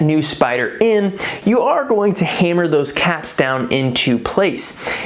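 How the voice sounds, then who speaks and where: At a fairly slow pace, the speaker's pitch makes very wide swings and the loudness stays very even, with audible room echo and noticeable background noise. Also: woman. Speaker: DIY car maintenance youtuber. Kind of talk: tutorial.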